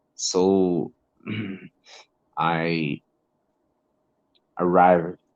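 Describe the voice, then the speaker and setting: With a Brazilian Portuguese accent, the voice holds fairly even intonation in a dry, close sound with no echo. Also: man. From northern Brazil. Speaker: English teacher and learner. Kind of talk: casual conversation lesson. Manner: halting.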